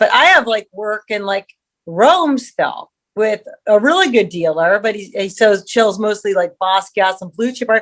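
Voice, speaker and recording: This woman has a normal speaking voice with an American accent and medium pitch. She speaks at a moderate pace with ordinary pitch variation. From US West Coast, San Diego, California. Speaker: artist and sculptor. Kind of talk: casual interview chat.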